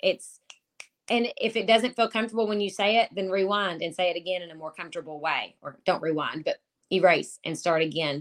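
The speaker has a Kentucky accent and a fairly quick pace. Loudness swings widely from moment to moment. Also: woman, medium pitch for a woman, ordinary pitch variation. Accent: Southern US (Kentucky). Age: 30s. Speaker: online marketer with a full-time job. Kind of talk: interview. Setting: home office, remote call.

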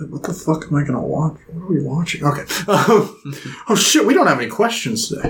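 A man talks in a normal speaking voice at a fairly high pitch. He moves at a fairly quick pace with lively intonation. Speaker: podcast co-host. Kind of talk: casual chat.

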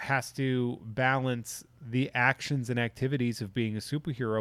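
Fairly even intonation marks an unremarkable speaking voice with an American accent. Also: man. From Massachusetts. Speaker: podcast host and collectibles industry worker. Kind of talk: casual chat.

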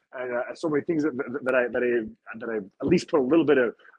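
This is a man speaking in a Montreal accent. His pitch varies in an ordinary way. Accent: Montreal English Canadian. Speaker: professional wrestler. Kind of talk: casual chat. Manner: animated.

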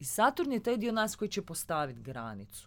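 Against a silent background in a very clean recording, a woman talks at a fairly quick pace and medium pitch. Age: 30s. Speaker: astrologer. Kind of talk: casual chat. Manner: cheerful, relaxed.

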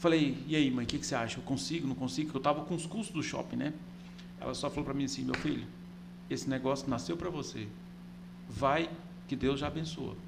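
A man speaks at a very fast pace with lively intonation, yet with long, frequent pauses. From Goiás, Brazil (Catalão). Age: 40s. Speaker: business owner, franchisee. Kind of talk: casual interview chat. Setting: studio. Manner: halting, many repetitions.

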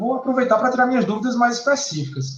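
Extremely high pitch from a man, with ordinary pitch variation. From Paraíba, northeastern Brazil. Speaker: electrical engineering professor. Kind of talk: interview.

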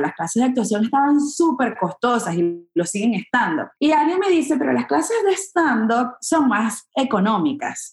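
A woman with a high voice talks at a fairly slow pace, her pitch swinging very widely. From Venezuela (Maracay). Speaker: comedian and actress. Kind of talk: interview conversation.

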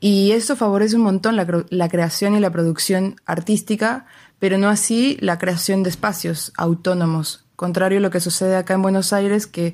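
Speaking in a plain, everyday voice, a woman at medium pitch keeps a moderate pace and fairly even intonation in a very clean recording with a silent background. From Mexico, Querétaro. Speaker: cultural manager. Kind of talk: recorded interview.

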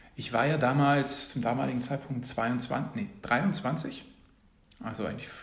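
Amid audible room echo, a man with a fairly high pitch speaks at a fairly slow pace. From Munich, Bavaria. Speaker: startup founder. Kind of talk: casual interview.

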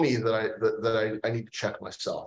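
A man talks at a fairly quick pace with an American accent. He has an ordinary speaking voice with fairly even intonation. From US Pacific Northwest (Port Townsend, Washington). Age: 40s. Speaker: aviation company CEO. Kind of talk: interview.

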